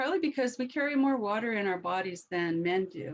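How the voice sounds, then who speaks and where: Her voice is an unremarkable speaking voice, fairly high for a woman, with lively intonation. She keeps a moderate pace. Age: 60s. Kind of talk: webinar talk.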